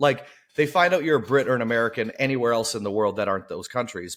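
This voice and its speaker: With an animated tone, a man's voice swings very widely in pitch. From northern Canada, small town. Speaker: podcast co-host. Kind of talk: casual chat.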